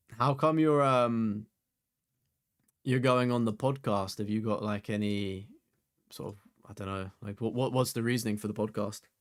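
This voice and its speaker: At medium pitch and a moderate pace, a man with an English accent talks with ordinary pitch variation and long, frequent pauses. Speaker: gaming streamer. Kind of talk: live stream chat. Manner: casual, filler-heavy.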